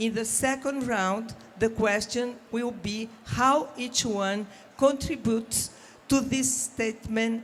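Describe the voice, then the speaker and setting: A woman's fairly high voice with a non-native accent, at a very slow pace with ordinary pitch variation. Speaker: panel moderator. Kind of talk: panel discussion introduction.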